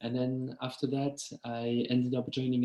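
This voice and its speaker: Medium in pitch, this man's voice has a dark, mellow tone. He speaks at a moderate pace. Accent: French. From France. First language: French. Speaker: start-up founder. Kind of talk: webinar talk. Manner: hesitant, many fillers.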